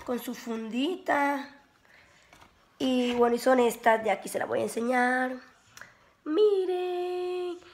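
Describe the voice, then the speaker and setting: A woman speaks very slowly, with long, frequent pauses. Her high-pitched voice carries lively intonation. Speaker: beauty vlogger. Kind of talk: casual vlog. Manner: animated.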